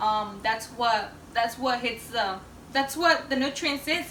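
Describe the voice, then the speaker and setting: Someone with a non-native accent talks at a moderate pace with ordinary pitch variation. Room echo is audible, and background noise is noticeable. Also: woman. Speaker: home cook. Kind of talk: cooking tutorial. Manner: hesitant, many fillers.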